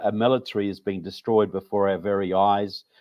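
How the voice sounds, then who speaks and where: The speaker is a man with a New Zealand accent. His pitch sits fairly low. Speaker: author and researcher. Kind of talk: interview. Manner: halting.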